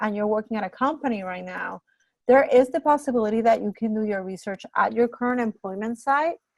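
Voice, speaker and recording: A woman with a Spanish accent speaks at a fairly high pitch with ordinary variation, in a dry, close sound with no echo and a quiet background. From Puerto Rico. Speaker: graduate program director. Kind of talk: information session Q&A.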